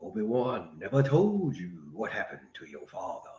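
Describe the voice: In a put-on character voice, a man speaks at a moderate pace with a medium pitch.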